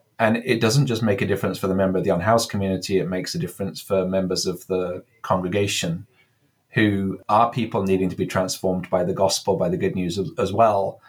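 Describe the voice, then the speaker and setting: A man with an American accent at a very fast pace, fairly low in pitch with ordinary pitch variation, in a very clean recording with a silent background. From England. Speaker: cathedral dean, priest. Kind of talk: interview conversation.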